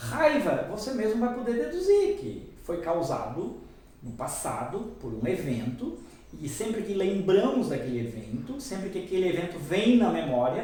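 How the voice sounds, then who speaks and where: Amid noticeable background noise and audible room echo, a man talks at a moderate pace and high pitch, his voice making very wide pitch swings. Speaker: hypnotherapist. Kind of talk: lecture. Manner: animated.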